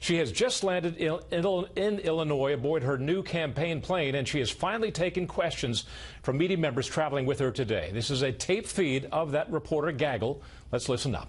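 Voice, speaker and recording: At a fairly quick pace, a man talks with lively intonation in a somewhat breathy voice. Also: fairly high pitch for a man, very even loudness. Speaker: TV news anchor. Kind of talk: TV news alert read.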